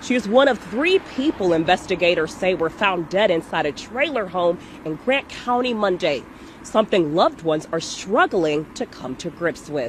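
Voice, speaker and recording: Against noticeable background noise, a speaker with an American accent talks at a moderate pace, the pitch swinging very widely. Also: woman, medium pitch for a woman. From United States, Cincinnati Ohio. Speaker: TV news reporter and anchor. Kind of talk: TV news reporting. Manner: brisk, professional broadcast delivery.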